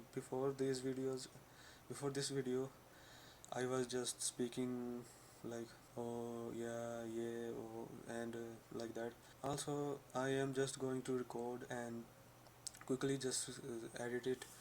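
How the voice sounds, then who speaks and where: Speaking very slowly at a medium pitch, a man keeps a monotone, flat intonation and leaves long, frequent pauses. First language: not English. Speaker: vlogger. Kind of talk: personal vlog. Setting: talking to camera. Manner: halting, many fillers.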